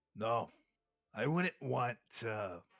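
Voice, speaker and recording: Using a put-on character voice, a man sounds raspy at a medium pitch with lively intonation, recorded dry and close with no echo. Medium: actual play. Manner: gruff, aggressive.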